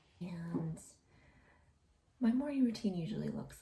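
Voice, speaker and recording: Her pitch is medium, with ordinary variation and some vocal fry. This woman's tone is dark and mellow. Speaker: home renovation vlogger. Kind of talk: casual vlog. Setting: home office. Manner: soft-spoken.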